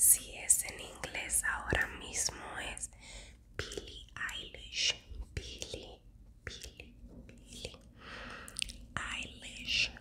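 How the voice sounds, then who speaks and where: A woman whispers at a very slow pace. Her pauses are long and frequent. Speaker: ASMR creator. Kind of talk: ASMR whisper-style talk to camera. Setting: close-mic ASMR recording. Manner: soft, intimate, whispered. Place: home room.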